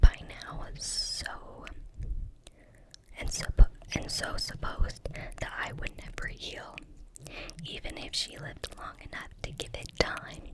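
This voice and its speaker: Whispering at a very slow pace, a woman leaves long, frequent pauses, with big swings in loudness and noticeable background noise. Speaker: ASMR creator. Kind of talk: audiobook-style reading of a fantasy novel. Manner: whispered, soft-spoken.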